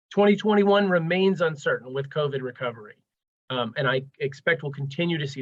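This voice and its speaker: Speech comes at a fairly quick clip, somewhat breathy, its pitch varying in an ordinary way. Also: man. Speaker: transportation program manager, webinar presenter. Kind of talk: webinar presentation. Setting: live webinar, video call. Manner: fast.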